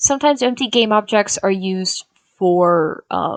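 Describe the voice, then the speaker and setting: The voice is an ordinary speaking voice with ordinary pitch variation, heard in a dry, close sound with no echo. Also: woman. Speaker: game development tutor. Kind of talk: tutorial. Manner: frequent filler words.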